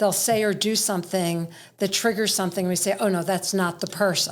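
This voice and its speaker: A woman with a normal speaking voice, medium pitch, fairly even intonation, very clean recording and silent background. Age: middle-aged. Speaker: podcast host. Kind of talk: podcast interview question.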